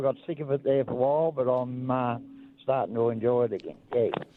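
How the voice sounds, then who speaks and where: Here a man talks at a fairly quick pace. His pitch is medium and varies in an ordinary way. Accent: Australian. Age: 70s. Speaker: truck driver. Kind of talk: radio call-in.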